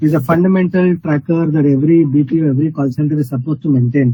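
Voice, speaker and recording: A man talks at a very fast pace with a fairly high pitch. His voice is somewhat breathy, with fairly even intonation. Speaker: hackathon jury member. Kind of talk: pitch feedback critique. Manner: firm, probing; too quiet at first.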